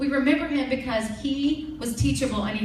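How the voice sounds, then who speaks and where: A woman with lively intonation is recorded with noticeable background noise and audible room echo. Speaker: network marketing team leader and trainer. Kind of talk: training presentation to an audience. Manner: fast; animated.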